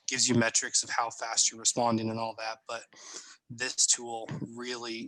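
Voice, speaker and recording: A man talks at a fairly quick pace. His is an unremarkable speaking voice at medium pitch. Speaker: marketing trainer. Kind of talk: presentation.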